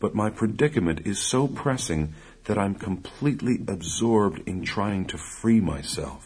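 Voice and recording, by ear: Someone is reading aloud in a natural voice. The pitch varies in an ordinary way.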